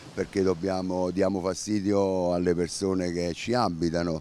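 Very deep and low in pitch, a man speaks with a dark, mellow tone at a moderate pace with fairly even intonation. The sound is dry with no echo, over light background noise. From Campania, Italy. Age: 60s. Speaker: beach club manager. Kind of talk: interview. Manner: halting. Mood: bitter, complaining appeal. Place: beach. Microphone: handheld.

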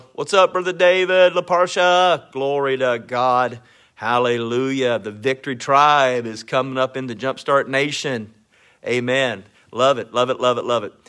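A man speaks with a bright, sharp tone and ordinary pitch variation. The background is quiet. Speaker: minister hosting a live stream. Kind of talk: casual live-stream greeting and devotional talk. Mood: warm, upbeat. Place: home room. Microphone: phone near.

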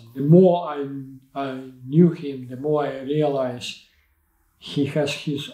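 A man with a Ukrainian accent speaks in a dark, mellow tone with fairly even intonation, audible room echo and a quiet background. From Ukraine. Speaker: Olympic sailing coach. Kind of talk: interview answer. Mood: reflective, earnest. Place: studio.

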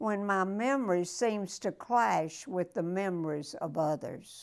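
A woman speaks in a Southern US accent with lively intonation. Her pace is fairly slow, and the background is quiet. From Florida, USA. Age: 80s+. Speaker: elderly woman sharing wisdom. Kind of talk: prayer reading. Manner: spunky. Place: home room. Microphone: lapel.

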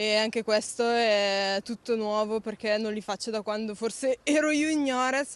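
At a fairly slow pace with hardly any pauses, a woman with a fairly high pitch and ordinary pitch variation speaks in a dry sound with no echo. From Costa Volpino, Lombardy; Lombardy, Italy. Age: 20s. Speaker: paralympic cyclist. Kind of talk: interview. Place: street. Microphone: handheld.

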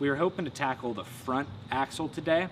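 A man speaks fairly quickly with ordinary pitch variation as noticeable background noise carries on behind him. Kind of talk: casual build vlog explanation. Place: garage. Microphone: camera far.

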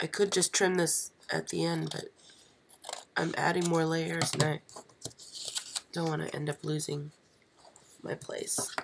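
The delivery comes at a fairly slow pace with long, frequent pauses. Noticeable background noise runs underneath. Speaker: pop-up card maker. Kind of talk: live stream craft tutorial. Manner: casual, hesitant.

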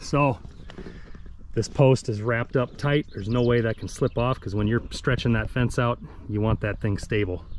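Noticeable background noise sits behind a man of medium pitch. He speaks at a moderate pace with fairly even intonation. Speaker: farmer vlogger. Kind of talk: casual tutorial vlog while working. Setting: outdoors. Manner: casual, halting, unscripted.

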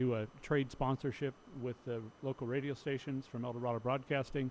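Delivery comes at a fairly quick pace. Intonation stays monotone and flat. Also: man, medium pitch for a man. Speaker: city manager. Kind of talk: council meeting report. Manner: many fillers, uh and um.

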